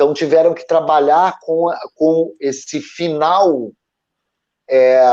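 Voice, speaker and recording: Fairly high pitch and ordinary pitch variation from a man. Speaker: former actor, creative panelist. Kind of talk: live panel discussion. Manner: halting, many repetitions.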